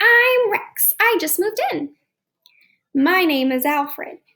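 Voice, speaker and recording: A woman uses a squeaky, put-on character voice. Her pitch is extremely high and her pace fairly slow. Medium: read story.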